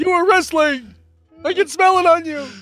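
With faint music in the background, a man does a put-on character voice at an extremely high pitch and a moderate pace. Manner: scolding, accusatory.

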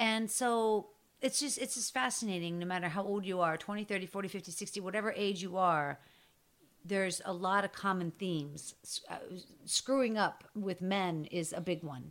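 A woman with an American accent talks at a moderate pace in a normal speaking voice, her medium pitch showing ordinary variation, on a very clean recording with a silent background. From Pittsburgh, Pennsylvania. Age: 50s. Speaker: podcaster and storyteller. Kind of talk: casual chat.

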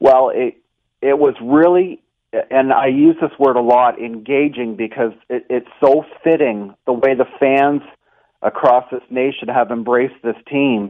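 A plain, everyday voice from a man, medium in pitch, at a fairly slow pace with fairly even intonation. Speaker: basketball game operations statistician. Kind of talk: casual interview.

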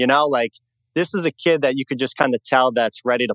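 Recorded with a dry, close sound and no echo, a man with an American accent has a medium pitch and an ordinary speaking voice. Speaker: caller, Yankees fan. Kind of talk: call-in sports talk.

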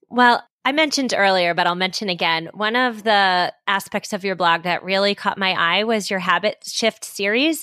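A woman's medium-pitched voice with a bright, sharp tone, at a moderate pace with hardly any pauses and ordinary pitch variation. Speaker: podcast host. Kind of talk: interview.

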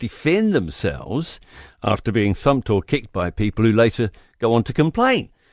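Very wide pitch swings mark this man's medium-pitched voice, which carries a New Zealand accent. He keeps a moderate pace in a very clean recording with a silent background. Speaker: radio commentator. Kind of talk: angry opinion rant. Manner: indignant, combative; emphatic, punchy.

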